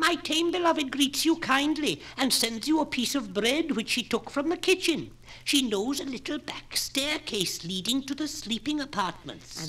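A put-on character voice, female-sounding and high in pitch, runs at a moderate pace with hardly any pauses. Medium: read story. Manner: garrulous, storytelling.

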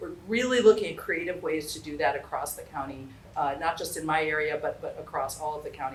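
A woman talks at a very fast pace with big swings in loudness. Noticeable background noise and audible room echo fill the recording. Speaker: local elected official. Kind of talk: town hall presentation. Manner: hesitant, many fillers.

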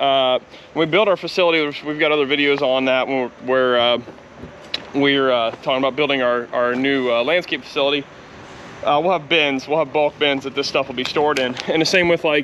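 A man speaks at a fairly quick pace with fairly even intonation. Light background noise is present. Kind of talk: casual vlog chat. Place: street. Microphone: phone near.

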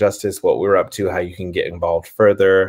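A man's fairly low voice in an American accent, with monotone, flat intonation, a fairly quick pace, and a quiet background. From US South. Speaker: theater nonprofit founder; guest, theater actor. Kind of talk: interview conversation. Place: home room.

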